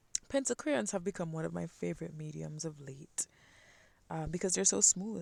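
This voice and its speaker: A woman with a West Indian accent speaks at a moderate pace in a fairly low, dark, mellow voice. The recording is very clean, with a silent background. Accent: West Indian, some twang. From Caribbean (West Indies). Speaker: art channel creator. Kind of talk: sketching voiceover. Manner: casual, hesitant with fillers.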